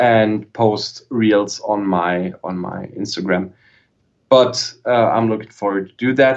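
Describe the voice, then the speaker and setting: A man's fairly low pitch at a very slow pace, with ordinary pitch variation. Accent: German. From southern Germany. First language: German. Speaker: guitarist and guitar YouTuber. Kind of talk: casual chat. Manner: halting, repeats words.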